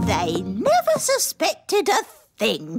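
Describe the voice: This is a cartoonish character voice speaking at a fairly slow pace. Faint music plays in the background.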